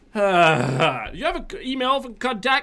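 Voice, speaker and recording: A man speaks with a French accent and lively intonation. His tone is bright and sharp. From northern Quebec. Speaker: game developer and streamer. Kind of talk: live stream chat. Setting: live stream. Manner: casual with many fillers and restarts.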